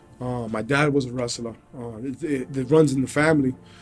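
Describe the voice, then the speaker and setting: Music plays in the background while a man speaks. His pitch varies in an ordinary way. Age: 30s. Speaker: MMA fighter. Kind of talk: interview testimony. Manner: halting.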